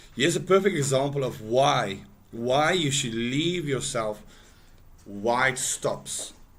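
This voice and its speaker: There's audible room echo as a man speaks at a very slow pace. His voice is medium in pitch with lively intonation. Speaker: forex trader streaming live trades. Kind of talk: live trading tutorial. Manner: casual, with frequent fillers and repeats; loud at times.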